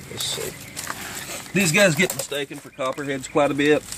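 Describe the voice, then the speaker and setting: A strong Kentucky accent comes through at a fairly quick pace with fairly even intonation, over noticeable background noise. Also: man. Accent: thick Kentucky. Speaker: nature video presenter. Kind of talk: outdoor wildlife demonstration. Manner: casual with many fillers.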